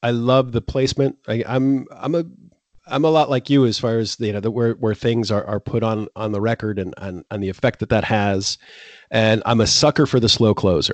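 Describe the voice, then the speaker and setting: A man's normal speaking voice with an American accent, medium in pitch with ordinary variation, at a fairly quick pace, in a dry, close sound with no echo. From Florida. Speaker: music podcast host. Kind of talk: casual chat.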